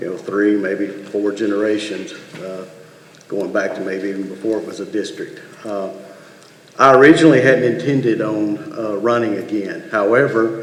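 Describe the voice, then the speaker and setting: Amid noticeable background noise and audible room echo, a man talks at a moderate pace in a fairly low pitch, with ordinary pitch variation and big swings in loudness. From outside Michigan. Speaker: school board candidate. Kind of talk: candidate forum statement. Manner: halting, many fillers.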